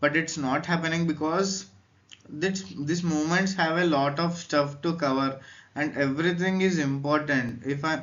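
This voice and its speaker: Audible room echo surrounds a man with an Indian accent and a fairly high pitch. He keeps a moderate pace and fairly even intonation. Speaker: educational youtuber. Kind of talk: lecture. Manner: hesitant.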